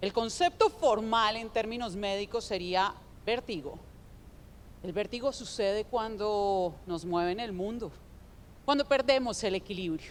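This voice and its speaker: The voice has a Colombian accent and ordinary pitch variation. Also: woman. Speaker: digital development founder, panelist. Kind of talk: conference talk.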